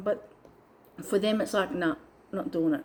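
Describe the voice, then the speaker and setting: A woman speaks with a dark, mellow tone. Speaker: spiritual coach vlogger. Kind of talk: casual vlog monologue. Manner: animated.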